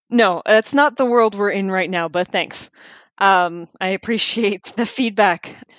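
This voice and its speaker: In a normal speaking voice with a Canadian accent, a woman talks at a fairly slow pace and medium pitch with ordinary pitch variation, the sound dry and close with no echo over a quiet background. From Ontario, Canada (Hamilton). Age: 30s. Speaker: wildlife biologist. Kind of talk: casual interview.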